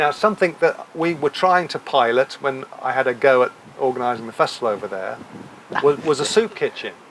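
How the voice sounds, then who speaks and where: A man with a fairly high voice talks at a fairly quick pace in an English accent. His intonation is lively. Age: 60s. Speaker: talk show host. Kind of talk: casual chat. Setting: live audience at a hotel.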